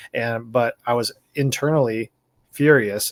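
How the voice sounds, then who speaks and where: This man's voice sits at medium pitch, with fairly even intonation. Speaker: video blogger. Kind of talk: casual monologue. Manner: fast.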